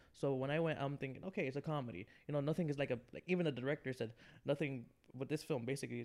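A man with an American accent speaks at a very fast pace, his medium pitch showing ordinary variation. Vocal fry runs through his voice. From New York, Queens. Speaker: podcast guest. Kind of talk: casual chat. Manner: halting.

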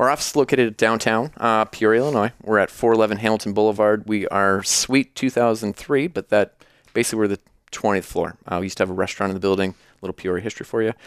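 A man with a US Midwestern accent at a very fast pace, fairly low pitch and fairly even intonation, in a dry, close sound with no echo on a very clean recording with a silent background. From Iowa, US Midwest. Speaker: financial advisor. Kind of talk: casual interview.

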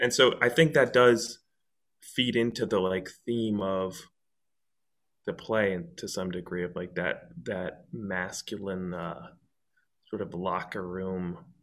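Speaking at a very slow pace with long, frequent pauses, a man uses a very deep, low pitch and ordinary pitch variation on a very clean recording with a silent background. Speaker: actor.

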